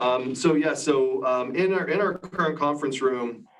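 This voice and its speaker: With audible room echo and noticeable background noise around him, a man talks at an even, moderate speed. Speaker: audio technology presenter. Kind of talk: live product demonstration. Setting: conference room on a video call. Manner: loud-voiced.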